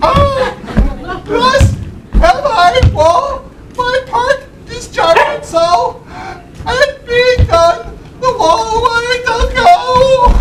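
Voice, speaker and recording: A put-on character voice at an extremely high pitch, very slow in pace, with light background noise. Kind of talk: comic overacting, Shakespearean verse. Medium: stage play.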